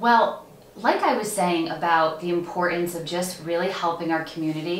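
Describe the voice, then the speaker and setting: Over light background noise and audible room echo, a woman talks at a moderate pace in a fairly low voice with fairly even intonation. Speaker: interview guest. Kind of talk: interview answer. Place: studio.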